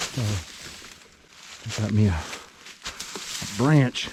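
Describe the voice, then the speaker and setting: Pitch variation is ordinary. Audible room echo and noticeable background noise come through. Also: man. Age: 60s. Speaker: survival and bible prophecy vlogger. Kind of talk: casual vlog monologue while hiking. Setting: outdoors on a forest trail. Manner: folksy, informal.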